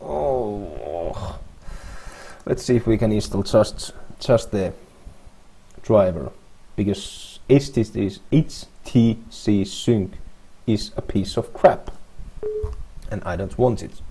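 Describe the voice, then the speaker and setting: A man with a non-native accent speaks in a somewhat breathy voice. He talks at a very slow pace, with long, frequent pauses. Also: fairly low pitch for a man, ordinary pitch variation. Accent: non-native English, trouble with some words. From Finland. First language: Finnish. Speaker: software developer. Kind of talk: coding screencast tutorial. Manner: casual, halting with fillers and restarts.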